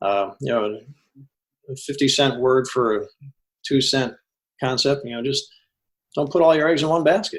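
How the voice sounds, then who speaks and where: Speaking at a fairly quick pace, a man talks in a fairly high pitch. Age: 60s. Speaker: financial coach. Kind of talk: casual chat. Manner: halting.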